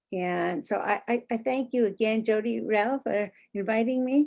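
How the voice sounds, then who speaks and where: With an American accent, a woman speaks in an ordinary speaking voice at a fairly high pitch and a fairly slow pace, with ordinary pitch variation. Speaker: former state official, politician. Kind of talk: panel discussion.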